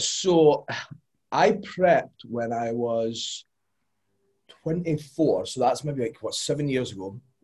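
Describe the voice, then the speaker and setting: Speaking very slowly with long, frequent pauses, a man with a Scottish accent uses a fairly high pitch, lively intonation and a somewhat breathy voice. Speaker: podcast guest, fitness coach. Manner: relaxed, casual.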